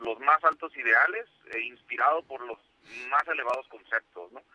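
A man is speaking. His pace is moderate. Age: 30s. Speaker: business association coordinator. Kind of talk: radio interview. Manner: halting.

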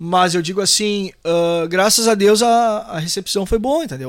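Delivered at a moderate pace in a southern Brazilian accent, the speech has ordinary pitch variation on a very clean recording with a silent background. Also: man. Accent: gaúcho Brazilian Portuguese. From Porto Alegre, Rio Grande do Sul, Brazil. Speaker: singer and songwriter. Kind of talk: casual interview chat.

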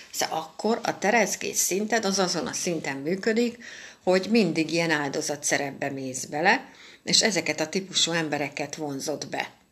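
A woman with a plain, everyday voice, fairly low pitch, lively intonation and a moderate pace. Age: 50s. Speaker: astrologer. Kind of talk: weekly astrology forecast monologue.

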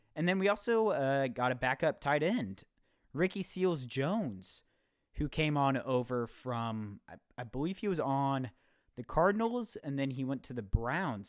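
The speaker has an unremarkable speaking voice, a moderate pace and lively intonation. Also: man. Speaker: podcast host. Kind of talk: casual chat; tutorial. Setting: video call.

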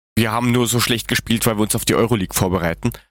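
Vocal fry runs through this man's voice at a medium pitch. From Germany. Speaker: football podcast co-host. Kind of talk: casual chat.

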